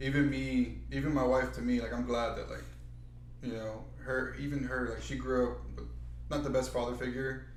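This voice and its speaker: Moderate pace against noticeable background noise, with audible room echo. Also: man. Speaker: podcast co-host. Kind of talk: casual chat.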